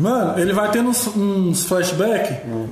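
Speaking at a moderate pace, a man has a high pitch. Audible room echo and noticeable background noise surround him. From Brazil, Federal District (Planaltina). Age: 20s. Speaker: podcast production crew member. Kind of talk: casual chat.

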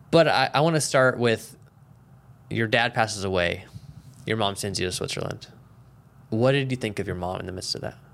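Talking at a fairly quick pace but with long, frequent pauses, a man with an American accent uses a medium pitch and ordinary pitch variation. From small-town US. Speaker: podcast host. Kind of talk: casual chat.

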